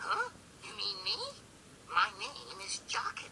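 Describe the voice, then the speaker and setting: Over clear background noise, a cartoonish character voice speaks at a fairly slow pace. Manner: excitable, whiny.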